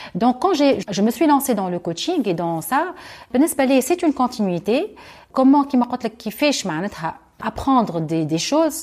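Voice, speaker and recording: A woman talks at a very slow pace in a high voice that makes very wide pitch swings. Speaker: university lecturer and youth coach. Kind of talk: interview.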